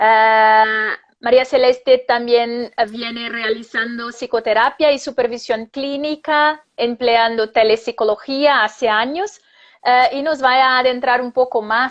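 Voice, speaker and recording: Speaking at a very slow pace, a woman uses a high-pitched voice. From Brazil. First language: Portuguese (speaking Spanish). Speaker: psychologist and professor. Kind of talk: live interview. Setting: Instagram live video.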